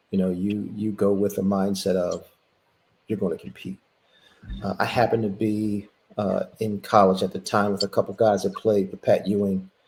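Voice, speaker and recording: Speaking with a Philadelphia accent, a man keeps a moderate pace and a fairly low pitch in a monotone, flat intonation. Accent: Philadelphia American. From Philadelphia, US. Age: 60s. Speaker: former college basketball player. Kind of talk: interview.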